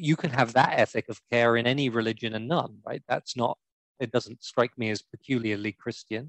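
A man with a plain, everyday voice at a medium pitch, moderate pace and fairly even intonation, in a dry, close sound with no echo. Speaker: co-host. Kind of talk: casual interview chat.

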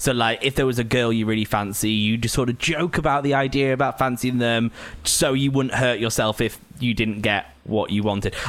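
A man talks at a fairly quick pace with a medium pitch. His pitch varies in an ordinary way, and there is noticeable background noise. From Lancashire, northern England. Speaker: podcast host. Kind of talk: casual chat. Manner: laughs a lot.

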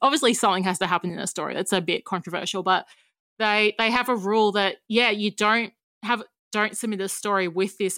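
A woman with an Australian accent speaks at a fairly quick pace in a bright, sharp tone, with medium pitch and ordinary pitch variation, on a very clean, dry, close recording with a silent background and no echo. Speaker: writer and podcaster. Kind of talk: casual chat.

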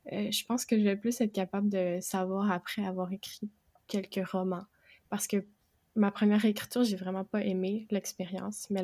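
On a very clean recording with a silent background and a dry, close sound with no echo, a woman of medium pitch speaks at a moderate pace in a dark, mellow tone with monotone, flat intonation. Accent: Quebec. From Quebec. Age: 20s. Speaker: aspiring fantasy novelist and bookseller. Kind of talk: casual interview chat.

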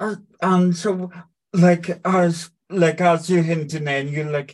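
A man speaks here. His intonation is monotone and flat. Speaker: podcast host interviewer. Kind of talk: casual interview.

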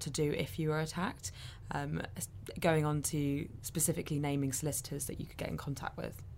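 A woman's very deep, low voice with a British accent, at a moderate pace and with fairly even intonation. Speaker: podcast host. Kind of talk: casual chat.

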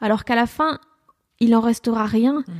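A woman with a normal speaking voice, fairly high in pitch, with fairly even intonation. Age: 20s. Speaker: comedian and radio columnist. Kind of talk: casual interview. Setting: at home.

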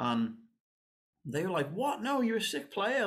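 Fairly quick delivery with a strong Liverpool accent and very wide pitch swings. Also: man. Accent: strong Scouse. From northern England, Liverpool. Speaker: saxophonist and composer. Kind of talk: casual chat.

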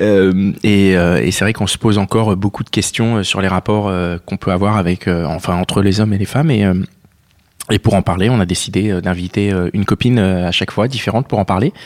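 A man speaks in a plain, everyday voice, fairly low in pitch, at a fairly quick pace with fairly even intonation, the sound dry and close with no echo. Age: 30s. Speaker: podcast host. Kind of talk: casual chat.

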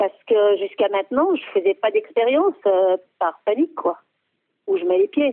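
A woman's voice with very wide pitch swings. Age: 60s. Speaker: helpline user. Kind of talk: testimony. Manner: hesitant.

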